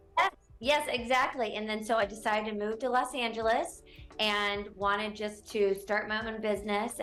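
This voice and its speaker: Music plays in the background behind a voice with a slight Southern US accent. The pace is moderate and the intonation fairly even. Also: woman. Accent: slight Southern twang. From North Carolina (Gastonia/Charlotte). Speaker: real estate broker. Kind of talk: TV interview. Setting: TV studio.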